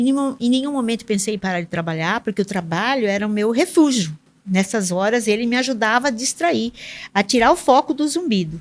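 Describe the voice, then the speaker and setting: A woman speaks at a fairly quick pace with a fairly high pitch and lively intonation. The recording is very clean, with a silent background. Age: 60s. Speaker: public sector auditor, engineer. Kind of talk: podcast interview. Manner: halting, many fillers and repetitions.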